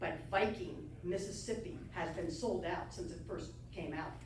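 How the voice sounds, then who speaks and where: Against noticeable background noise and audible room echo, a woman speaks in a fairly low pitch with lively intonation. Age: 60s. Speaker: travel broadcaster and speaker. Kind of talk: club talk with Q&A. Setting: club meeting with audience. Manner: animated.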